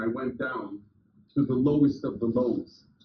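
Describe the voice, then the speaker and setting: A man talks at a moderate pace with a somewhat breathy voice. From US, religious immigrant family. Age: 60s. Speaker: business coach and motivational speaker. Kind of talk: motivational talk. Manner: animated.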